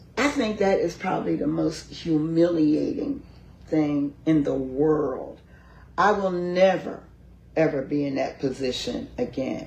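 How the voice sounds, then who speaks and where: A woman's voice at a fairly slow pace, with audible room echo. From Philadelphia. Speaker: county commissioner. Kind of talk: interview, personal story.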